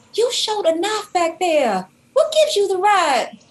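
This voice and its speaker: This woman uses a put-on character voice, extremely high and squeaky. Her pitch swings very widely at a moderate pace. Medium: stage play.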